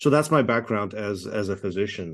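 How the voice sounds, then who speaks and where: Over a quiet background, a man with a fairly low pitch talks at a moderate pace. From Czechoslovakia, then Toronto, Canada. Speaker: oncologist. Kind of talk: interview.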